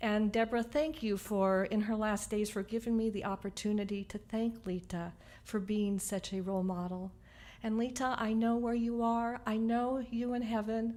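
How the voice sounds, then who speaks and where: Her tone is dark and mellow, with a fairly high pitch for a woman. She keeps a moderate pace and fairly even intonation. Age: 60s. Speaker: eulogy speaker, niece of the deceased. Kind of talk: eulogy at memorial service. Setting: memorial service.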